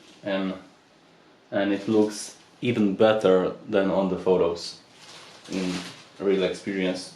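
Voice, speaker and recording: Amid noticeable background noise and audible room echo, a man with a fairly low pitch speaks at a very slow pace. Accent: non-native. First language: not English. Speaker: audio product reviewer. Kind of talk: unboxing video.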